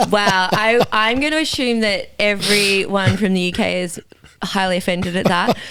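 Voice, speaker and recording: A woman's medium-pitched voice in an Australian accent, at a moderate pace, with noticeable background noise. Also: ordinary pitch variation. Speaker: fitness educator. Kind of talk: casual chat.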